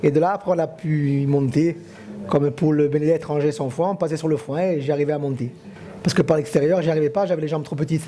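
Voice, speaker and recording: This man talks very fast. His fairly high pitch follows fairly even intonation. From Corsica. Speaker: villager. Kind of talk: reminiscing interview.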